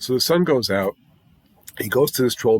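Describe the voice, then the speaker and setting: A man's voice is heard with a dry, close sound and no echo. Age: 60s. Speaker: music YouTuber reviewing albums. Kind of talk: casual album review monologue. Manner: conversational with frequent fillers.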